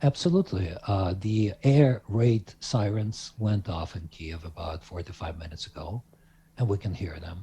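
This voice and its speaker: A man speaks at a moderate pace with a fairly low pitch, a dark, mellow tone and ordinary pitch variation. His voice is somewhat breathy, and its loudness swings widely. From Ukraine. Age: 60s. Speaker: Ukrainian interviewee. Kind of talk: remote interview. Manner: halting.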